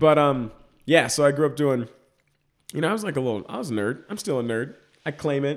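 Pitched fairly high, a man with an American accent talks at a fairly quick pace with lively intonation and long, frequent pauses. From Texas, Dallas suburbs. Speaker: comedic actor. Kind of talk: casual interview.

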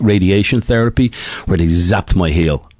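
A man speaks at a moderate pace with an Irish accent. His pitch is very deep and low. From Ireland (Dublin). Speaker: retired middle-distance runner. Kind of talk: interview.

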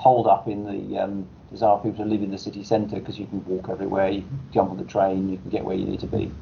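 At a fairly quick pace, a man talks with a fairly low pitch, a dark, mellow tone and vocal fry.

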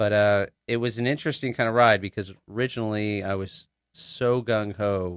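An ordinary speaking voice belongs to a man with an American accent, fairly low in pitch and at a moderate pace. The background is quiet, and the sound is dry and close with no echo. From Texas, Dallas area. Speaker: physician. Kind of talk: interview. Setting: studio.

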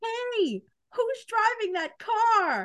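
In a put-on character voice, the speaker talks at an extremely high pitch.

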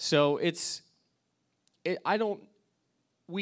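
A man's voice in a very clean recording with a silent background. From Alaska. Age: 20s. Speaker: youth pastor. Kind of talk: sermon. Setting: church.

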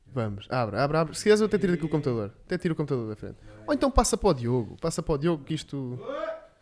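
A man at a very fast pace with very wide pitch swings over noticeable background noise. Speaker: podcast co-host. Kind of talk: casual chat.

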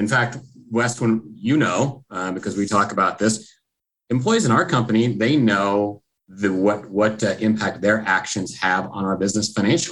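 An unremarkable speaking voice, this man talks at a moderate pace with an American accent, a fairly low pitch and ordinary pitch variation. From Texas. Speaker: software company executive. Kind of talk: interview.

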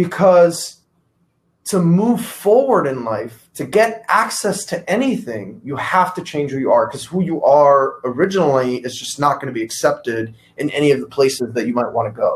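Moving at a moderate pace, the speech swings very widely in pitch and sounds somewhat breathy. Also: man, fairly high pitch for a man. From Cuba, raised in Miami from age five or six. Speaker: entrepreneur. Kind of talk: casual chat.

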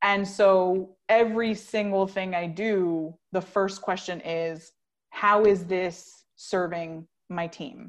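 A woman's very slow delivery with fairly even intonation against a quiet background. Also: medium pitch for a woman. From Colombia. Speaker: podcast production company founder. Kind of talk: casual interview.

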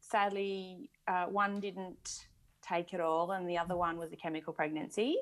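In an Australian accent, a woman with a medium pitch speaks at a fairly slow pace. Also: quiet background. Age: 40s. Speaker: mother sharing fertility story. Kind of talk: casual interview.

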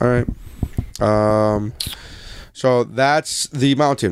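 A man with a normal speaking voice keeps to a medium pitch, letting it vary in an ordinary way. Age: 20s. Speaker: podcast host. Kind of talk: casual chat.

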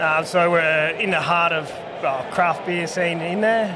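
A man with a rural Australian accent speaks at a high pitch. There is audible room echo and noticeable background noise. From rural northern Victoria, Australia. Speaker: brewer. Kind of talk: casual chat. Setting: outdoors.

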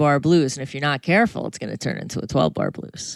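A woman with an American accent speaks with vocal fry in a dry, close sound with no echo, on a very clean recording with a silent background. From Connecticut, near New Haven. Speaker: jazz guitarist and educator. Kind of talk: interview.

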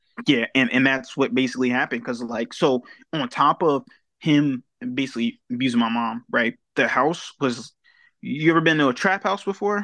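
With an American accent, a man talks at a moderate pace in a bright, sharp tone at medium pitch with ordinary variation. The sound is dry and close with no echo over a quiet background. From Delaware, US. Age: young. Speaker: personal development coach. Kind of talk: casual chat.

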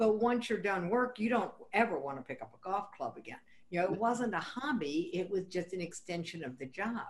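A woman with an unremarkable speaking voice of medium pitch talks at a fairly quick pace with lively intonation. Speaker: podcast host. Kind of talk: casual interview chat.

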